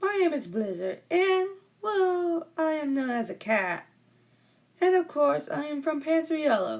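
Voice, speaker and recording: Someone uses a put-on character voice, high-pitched and delivered at a fairly slow pace. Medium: solo performance.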